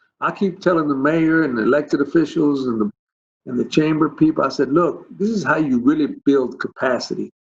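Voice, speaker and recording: Here a man with an American accent speaks at a fairly quick pace in a normal speaking voice. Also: fairly high pitch for a man, ordinary pitch variation. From Texas, Dallas (Oak Cliff). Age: 60s. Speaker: school district superintendent. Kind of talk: virtual town hall panel.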